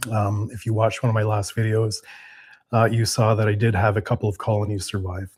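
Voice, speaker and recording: A man speaks at a fairly low pitch, somewhat breathy. The recording is very clean, with a silent background. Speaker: off-grid cabin and beekeeping youtuber. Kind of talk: casual livestream chat. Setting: indoor livestream. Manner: halting, many fillers.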